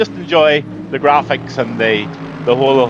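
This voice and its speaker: A man with a Northern Irish accent, medium pitch and ordinary pitch variation at a moderate pace, with noticeable background noise. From Northern Ireland. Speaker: race commentator.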